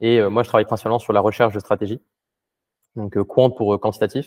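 A man's voice sits fairly low with monotone, flat intonation. He speaks at a fairly quick pace. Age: 20s. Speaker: quantitative crypto trader. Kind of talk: casual interview.

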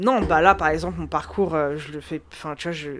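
In an ordinary speaking voice, a woman talks at a moderate pace with normal pitch movement, recorded very cleanly against a silent background. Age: 20s. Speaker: data scientist. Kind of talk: casual chat.

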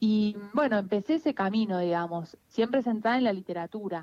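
A woman speaks at a fairly quick pace and fairly high pitch with ordinary pitch variation, the sound dry and close with no echo. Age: 30s. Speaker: writer and researcher. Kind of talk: interview. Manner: halting.

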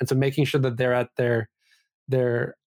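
Flat, monotone delivery in a Canadian accent comes through on a very clean recording with a silent background. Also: man. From Vancouver, Canada. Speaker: esports company CEO. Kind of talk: casual interview.

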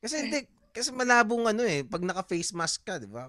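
The sound is close and dry, without any echo. A man speaks at a fairly quick pace. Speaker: comic artist and podcaster. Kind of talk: casual chat.

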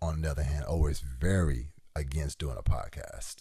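A man's dark, mellow tone with vocal fry, lively intonation and a moderate pace. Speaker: podcast host. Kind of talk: casual chat.

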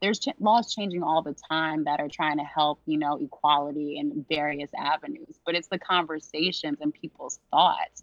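A woman speaks at a moderate pace with hardly any pauses, her very deep, low voice showing ordinary pitch variation. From Louisiana (near New Orleans). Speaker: civil rights attorney, former prosecutor. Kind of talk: casual interview.

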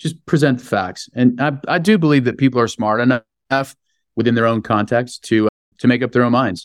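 Recorded very cleanly with a silent background and a dry, close sound with no echo, a man with a West Coast US accent speaks fairly quickly at a medium pitch with ordinary variation. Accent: General American, West Coast. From US West Coast, San Francisco. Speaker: hospitality business executive. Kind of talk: interview. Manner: frequent repetitions and hesitations.

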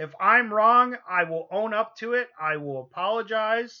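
Against a quiet background, a man uses a raised, projected voice with a bright, sharp tone and ordinary pitch variation. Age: 40s. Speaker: podcast host. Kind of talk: casual chat.

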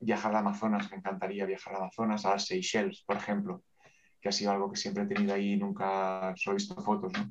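A man talks at a very fast pace, his loudness held very even. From Catalonia, Spain (Terrassa, Barcelona province). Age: 50s. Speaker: bank manager and aspiring coach. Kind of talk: interview. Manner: talkative.

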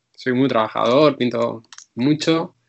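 In an unremarkable speaking voice, a man talks at a fairly slow pace with a medium pitch and fairly even intonation. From Spain, Ávila. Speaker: painter. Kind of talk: interview.

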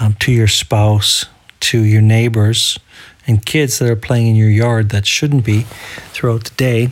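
A man with a medium pitch speaks at a fairly slow pace in a monotone, flat intonation, with noticeable background noise behind him. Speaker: solo podcaster. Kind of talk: casual solo audio diary. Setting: home recording without headphones. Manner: holding back on enunciation.

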